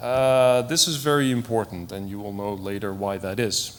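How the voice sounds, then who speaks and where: Noticeable background noise and audible room echo surround a man's voice. He talks at a medium pitch and a moderate pace. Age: 40s. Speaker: IT professional, conference speaker. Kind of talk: conference talk. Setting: stage with audience. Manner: hesitant, with frequent fillers.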